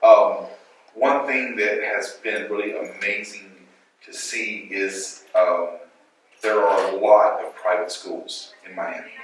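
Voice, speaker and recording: A man with an American accent speaks very slowly, his loudness swinging widely amid audible room echo. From Louisiana, US South. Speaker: school director and educator. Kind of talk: panel talk at a schools conference. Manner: hesitant, with fillers and repetitions.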